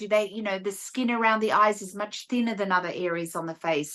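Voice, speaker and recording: This woman's voice has a bright, sharp tone and an Australian accent. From Australia (rural New South Wales, near Sydney). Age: 60s. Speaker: esthetician and beauty educator. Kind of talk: interview advice.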